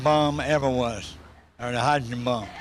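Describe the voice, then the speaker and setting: A Southern US accent at a moderate pace with ordinary pitch variation and audible room echo. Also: man. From US South, South Carolina. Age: 60s. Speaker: motivational businessman. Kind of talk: interview. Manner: animated.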